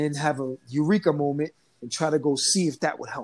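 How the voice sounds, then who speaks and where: Speaking with an American accent, a man uses an animated tone and a fairly high pitch. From New Jersey, Trenton. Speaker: dancer and dance teacher. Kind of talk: casual interview.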